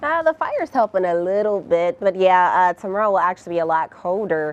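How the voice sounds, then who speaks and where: An ordinary speaking voice, a woman's, medium-pitched with an American accent, fairly quick with lively intonation, in dry, close sound with no echo. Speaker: weather anchor and reporter. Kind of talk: casual on-air weather chat with co-anchor.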